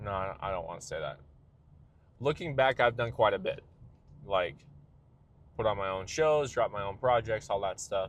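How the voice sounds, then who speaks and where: This man's voice sits at a medium pitch. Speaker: vlogger and musician. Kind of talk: casual monologue vlog. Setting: in a car. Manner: fast, talks over himself.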